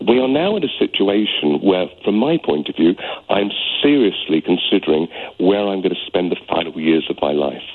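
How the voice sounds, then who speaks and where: A man with a British accent at a moderate pace, over noticeable background noise. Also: fairly low pitch for a man, lively intonation. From UK. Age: 60s. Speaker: caller. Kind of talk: radio phone-in call. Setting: phone call. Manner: heartfelt; halting.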